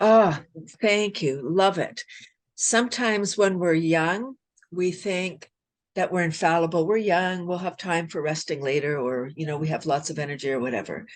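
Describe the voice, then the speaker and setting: With lively intonation, a woman speaks at a moderate pace and a fairly low pitch. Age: 60s. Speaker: wellness advocate and laughter yoga expert. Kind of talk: podcast interview. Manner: animated.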